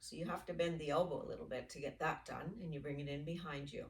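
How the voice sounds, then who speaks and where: A somewhat breathy woman's voice with a fairly low pitch. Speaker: yoga instructor. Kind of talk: guided exercise class. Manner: slow, deliberate pacing.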